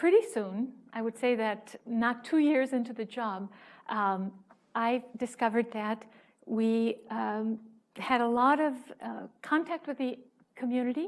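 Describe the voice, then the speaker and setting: Against a silent background in a very clean recording, a woman speaks at a fairly high pitch with ordinary pitch variation. Her pace is fairly slow, with long, frequent pauses. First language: Spanish. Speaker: museum outreach manager and educator. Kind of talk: conference talk. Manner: halting, many fillers.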